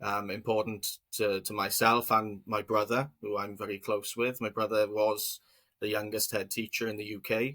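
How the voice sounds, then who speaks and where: A man talks at a fairly slow pace with fairly low pitch. His tone is bright and sharp, his intonation monotone and flat. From Wales, South Wales Valleys. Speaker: business co-founder. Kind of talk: interview. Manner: halting, many fillers and repetitions.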